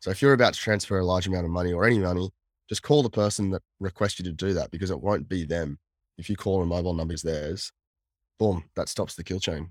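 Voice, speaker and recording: Very fast and very deep in pitch, a man speaks with an Australian accent and ordinary pitch variation. The recording is very clean, with a silent background and a dry, close sound with no echo. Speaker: cyber security consultant, former hacker. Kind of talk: casual interview chat.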